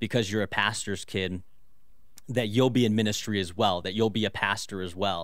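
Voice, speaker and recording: A man with a normal speaking voice talks at a moderate pace in a fairly low pitch with fairly even intonation, on a very clean recording with a silent background. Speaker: pastor. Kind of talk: radio interview about fatherhood.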